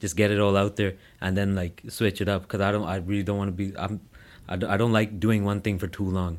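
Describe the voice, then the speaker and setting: A man with a Toronto accent talks very fast at a fairly low pitch in a monotone, flat intonation, captured in a very clean recording with a silent background. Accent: Canadian English (Toronto area). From Brampton, Ontario, Canada. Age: 20s. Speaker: social media comedian. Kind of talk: casual interview chat.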